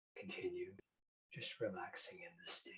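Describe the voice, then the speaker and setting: This is a man speaking. His tone is soothing. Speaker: certified hypnotist. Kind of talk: hypnotic induction, guided self-hypnosis. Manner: slow, soothing.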